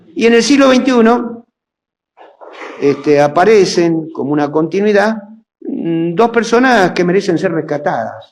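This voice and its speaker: A man with a high voice speaks at a fairly slow pace, his pitch swinging very widely between long, frequent pauses, with audible echo in the room. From Argentina, provinces (railway town). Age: 70s. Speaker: historian and lecturer. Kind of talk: lecture.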